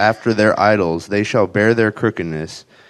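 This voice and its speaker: A man with an American accent speaks at a fairly quick pace and fairly low pitch. His pitch variation is ordinary against a quiet background. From US South (Arkansas).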